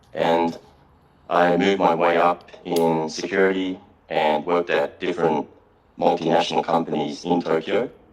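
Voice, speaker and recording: Noticeable background noise behind fairly even intonation. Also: man. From Japan and Melbourne, Australia. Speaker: salesperson. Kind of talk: casual interview chat.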